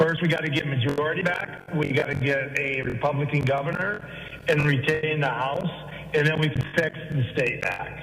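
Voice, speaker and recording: A man with an American accent, fairly quick and fairly even in intonation, with audible room echo and music in the background. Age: 60s. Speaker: state politician. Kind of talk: phone interview.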